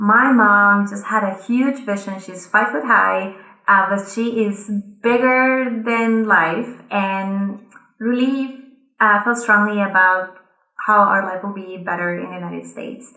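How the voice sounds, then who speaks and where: In a Colombian accent, the speech comes at a fairly slow pace with a bright, sharp tone, fairly even intonation and big swings in loudness, all with audible room echo. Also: woman, medium pitch for a woman. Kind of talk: conference speech.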